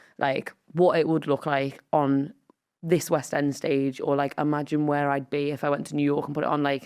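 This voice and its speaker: A woman's very deep, low voice in a Liverpool accent, moderate in pace, with monotone, flat intonation. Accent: Scouse. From Merseyside, England (Wallasey, Wirral). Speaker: comedian and writer. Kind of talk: casual chat.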